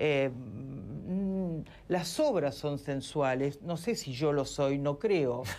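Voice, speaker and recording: A woman's very deep, low voice with a dark, mellow tone, lively intonation and a very slow pace. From Argentina. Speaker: sculptor and former physician; guest. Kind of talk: TV interview. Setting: TV studio remote link. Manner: halting, many fillers. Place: studio. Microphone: lapel.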